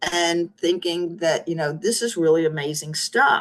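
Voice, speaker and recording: Lively intonation runs through this woman's speech. Her pitch is medium and her pace fairly slow. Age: 60s. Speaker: tech entrepreneur. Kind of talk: interview.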